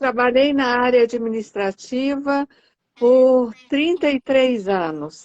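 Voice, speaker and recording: Her intonation is lively and her pitch fairly high. The woman talks at a very slow pace. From Brazil, Brasília. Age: 50s. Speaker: image consultant. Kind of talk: casual chat. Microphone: echo on her line.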